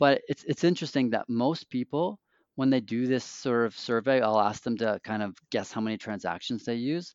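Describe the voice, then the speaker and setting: A man talks at a moderate pace in a plain, everyday voice, his pitch varying in an ordinary way. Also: medium pitch for a man. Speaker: financial adviser guest. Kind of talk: casual interview chat. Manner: joking, conversational.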